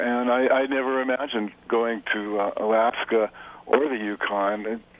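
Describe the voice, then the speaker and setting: A man's medium-pitched voice with an American accent and fairly even intonation, over noticeable background noise. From US West Coast, Los Angeles. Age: 60s. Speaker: photographer. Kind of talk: radio interview. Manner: halting, many repetitions and fillers.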